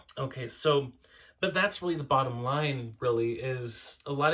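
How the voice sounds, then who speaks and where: A man talks loudly in a bright, sharp tone. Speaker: spiritual podcast co-host. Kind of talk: casual spiritual discussion. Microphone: mic tuned to loud voice, quieter partner hard to hear.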